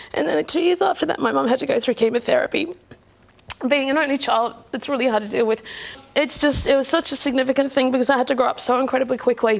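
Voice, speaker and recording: A woman with an Australian accent at high pitch and very fast pace, with very even loudness, ordinary pitch variation and noticeable background noise. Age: young. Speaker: reality show contestant. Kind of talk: personal testimony.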